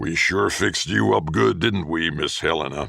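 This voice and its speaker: A man puts on a character voice that is raspy and rumbling, with a very deep, low pitch. He speaks at a moderate pace with lively intonation. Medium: read story.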